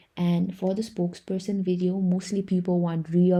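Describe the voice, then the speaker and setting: Against a quiet background, a woman with a fairly low pitch has a dark, mellow tone and sounds somewhat breathy. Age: young. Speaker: freelancer tutorial creator. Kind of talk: tutorial. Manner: casual.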